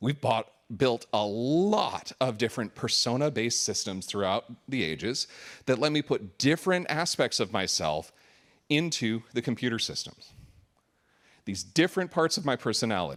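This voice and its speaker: On a very clean recording with a silent background, a man speaks loudly at a medium pitch with very wide pitch swings. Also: moderate pace. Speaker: conference speaker, software architect. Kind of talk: conference talk. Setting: stage with audience.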